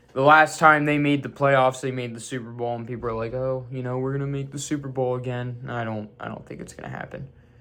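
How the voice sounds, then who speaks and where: A man speaks at a medium pitch with fairly even intonation. There is noticeable background noise. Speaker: sports YouTuber. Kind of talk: casual sports predictions monologue. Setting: home room with sports memorabilia. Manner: stuttering, halting; casual, conversational.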